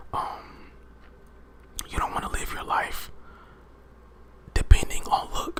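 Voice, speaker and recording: Whispering at a very slow pace, with long, frequent pauses and noticeable background noise. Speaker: ASMR creator. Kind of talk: motivational affirmations talk to camera. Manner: whispered.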